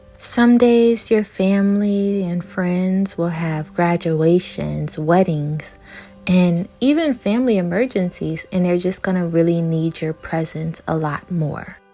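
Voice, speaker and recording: A woman speaks very slowly at a fairly low pitch, with ordinary pitch variation and music playing in the background. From New Orleans, Louisiana. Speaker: social worker and art vlogger. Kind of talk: self-help vlog talk.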